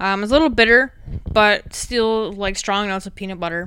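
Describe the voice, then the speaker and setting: Bright and sharp in tone, a woman speaks with an Upper Midwest accent. Her pace is fairly quick, with ordinary pitch variation. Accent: Upper Midwest American. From Wisconsin, US Midwest. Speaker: podcast host. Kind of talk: casual chat.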